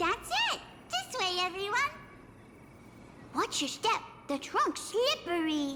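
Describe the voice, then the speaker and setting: A cartoonish character voice at an extremely high pitch, fairly slow, with long, frequent pauses and clear background noise. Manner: bubbly, excitable.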